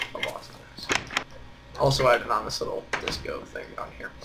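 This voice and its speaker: The speech goes at a moderate pace. Noticeable background noise is present. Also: man. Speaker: gaming youtuber. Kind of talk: gameplay commentary. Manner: monotone; hesitant, many fillers.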